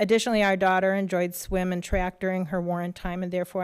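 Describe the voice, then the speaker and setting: With a Midwestern US accent, a woman speaks in a flat, monotone way on a very clean recording with a silent background. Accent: US Midwest. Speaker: public commenter, local village trustee. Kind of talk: public comment read from notes. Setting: school board meeting.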